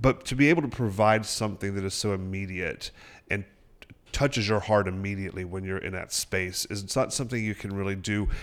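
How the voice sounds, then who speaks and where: A man with an American accent talks at a fairly quick pace in a plain, everyday voice, fairly low in pitch with ordinary pitch variation, on a very clean recording with a silent background. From upstate South Carolina (Sparkle City). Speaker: theater artistic director and actor. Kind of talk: radio interview. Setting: radio studio.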